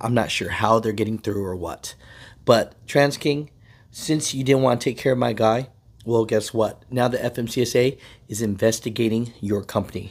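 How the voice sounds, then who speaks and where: The pace from this man is moderate. There is fairly little rise and fall in his intonation. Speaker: trucking channel host. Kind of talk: casual vlog commentary. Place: car. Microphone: phone near.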